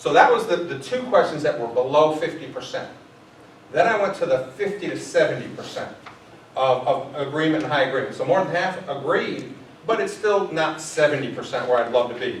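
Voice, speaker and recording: A man with a fairly high pitch and lively intonation talks at a fairly quick pace, with audible room echo and noticeable background noise. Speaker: school administrator presenting to teachers. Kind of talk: staff meeting presentation. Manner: fast.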